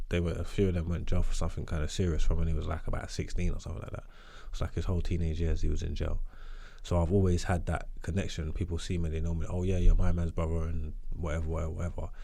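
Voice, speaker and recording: Talking at a very fast pace with a slight Cockney accent, a man with a very deep, low pitch and dark, mellow tone sounds somewhat breathy, his intonation monotone and flat, with audible room echo around him. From East London (Hackney). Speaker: rapper and podcaster. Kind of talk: casual interview chat.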